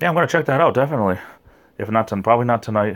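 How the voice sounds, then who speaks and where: Here a man speaks in a New England accent with lively intonation. It is a very clean recording with a silent background. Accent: New England, noticeable. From Rhode Island, southern New England. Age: 40s. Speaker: YouTuber. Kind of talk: livestream chat with viewers. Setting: late night livestream at home. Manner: slurred words.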